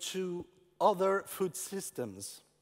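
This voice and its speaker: This man speaks with a French accent. His pitch is high. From France. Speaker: urban farming entrepreneur. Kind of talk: conference talk. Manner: halting.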